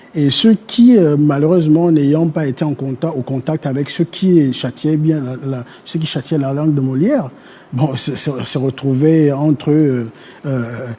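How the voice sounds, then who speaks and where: Fairly slow speech from a man with a fairly high voice and ordinary pitch variation. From Gabon, north (Fang speaker). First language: Fang (speaking French). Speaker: historian. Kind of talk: TV panel discussion. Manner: halting, many hesitations.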